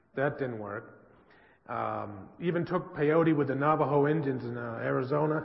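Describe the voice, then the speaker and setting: Over noticeable background noise and audible room echo, a man with an American accent talks at a fairly slow pace in a fairly high pitch. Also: ordinary pitch variation. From US West Coast, San Francisco. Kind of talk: church presentation. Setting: church with audience.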